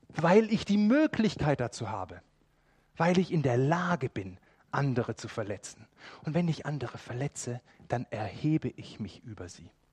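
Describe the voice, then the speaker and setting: A man's fairly high, somewhat breathy voice at a moderate pace, with very wide pitch swings and big swings in loudness, dry and close with no echo. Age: 40s. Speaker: preacher. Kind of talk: sermon.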